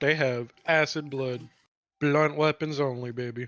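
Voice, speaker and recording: In a put-on character voice, a man speaks at a fairly high pitch. His intonation is monotone and flat. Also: moderate pace. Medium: actual play. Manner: casual.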